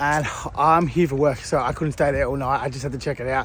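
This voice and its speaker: Against noticeable background noise, a man with an Australian accent talks very fast at a medium pitch in a flat, monotone delivery. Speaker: vlogger. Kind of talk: casual vlog narration. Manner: casual, sweary.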